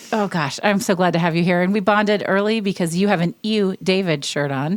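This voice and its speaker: A woman with a US Midwestern accent speaks at a medium pitch. Her loudness stays very even, and her pitch varies in an ordinary way. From Indianapolis, US Midwest. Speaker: podcast host and business coach. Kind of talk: casual interview chat. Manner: animated.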